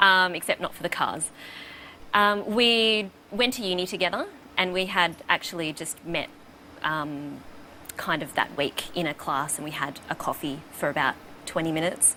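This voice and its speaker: At a moderate pace, a woman with an Australian accent speaks with ordinary pitch variation and long, frequent pauses. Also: fairly low pitch for a woman. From Melbourne, Australia. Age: 30s. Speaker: quiz contestant. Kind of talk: casual chat.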